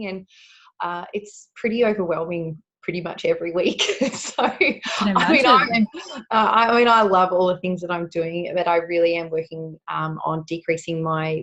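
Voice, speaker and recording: Speaking at a moderate pace, a woman with a fairly low pitch uses ordinary pitch variation. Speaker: beauty therapist and holistic educator. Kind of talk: interview answer.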